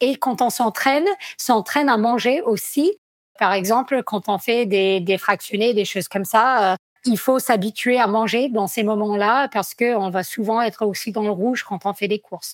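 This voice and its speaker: Fairly high-pitched woman in an American accent, ordinary pitch variation, dry, close sound with no echo. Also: fairly slow pace. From United States. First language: English (speaking French). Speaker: trail runner, athlete. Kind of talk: podcast interview. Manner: hesitant, many fillers.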